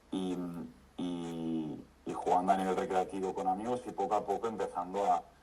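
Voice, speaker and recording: A man keeps a moderate pace while noticeable background noise is heard behind him. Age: 20s. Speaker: amateur tennis player, client. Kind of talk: interview testimony. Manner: hesitant, many repetitions.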